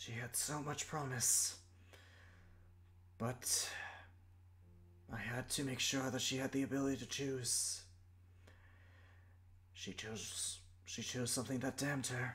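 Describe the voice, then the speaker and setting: A man's put-on character voice at medium pitch, with a fairly slow pace and long, frequent pauses. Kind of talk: fantasy sage monologue. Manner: slow, weary, solemn, reflective.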